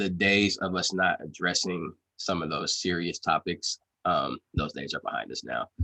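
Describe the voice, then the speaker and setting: The sound is dry and close, with no echo at all. In it, a man talks with an American accent. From California. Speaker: podcast host. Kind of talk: casual interview. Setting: call.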